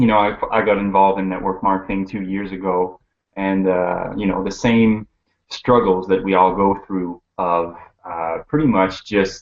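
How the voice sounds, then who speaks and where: With a French accent, a man talks in a very deep, low pitch and fairly even intonation. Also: moderate pace. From Quebec, Montreal. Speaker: network marketer. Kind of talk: casual interview. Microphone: horrible connection, cutting out.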